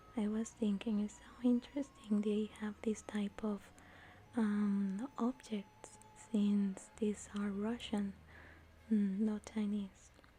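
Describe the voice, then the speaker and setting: Soft-spoken and at a very slow pace, a woman talks with a medium pitch. Her intonation is monotone and flat, with music in the background. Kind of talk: soft-spoken ASMR vlog talking to camera. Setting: recorded while traveling in Beijing. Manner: soft-spoken, relaxing.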